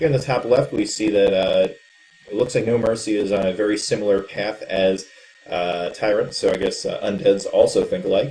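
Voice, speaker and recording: Background noise is noticeable here. A man speaks at a fairly quick pace. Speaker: esports caster. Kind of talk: live game commentary.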